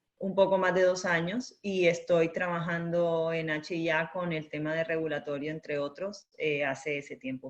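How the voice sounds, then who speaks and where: With a Latin American accent, a woman talks at a moderate pace and fairly low pitch with fairly even intonation. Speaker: intellectual property and regulatory consultant. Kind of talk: webinar presentation. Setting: online webinar.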